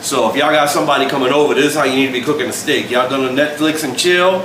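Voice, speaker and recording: A man speaks with ordinary pitch variation. Audible room echo and noticeable background noise surround him. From US South, New Orleans. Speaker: home cook. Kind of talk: casual cooking video. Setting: home kitchen. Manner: casual, joking.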